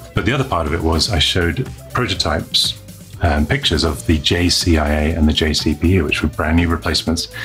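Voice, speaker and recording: Faint music plays in the background as a man with a very deep, low pitch speaks at a moderate pace. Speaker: show host. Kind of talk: news show presenting. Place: studio.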